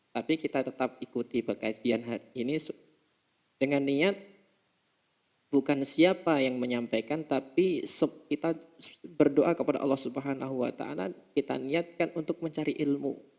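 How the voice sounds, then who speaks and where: The pace is moderate. Pitch variation is ordinary. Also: man, fairly high pitch for a man. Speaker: Islamic preacher teaching a religious text. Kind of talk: religious study lecture. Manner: halting, with self-corrections.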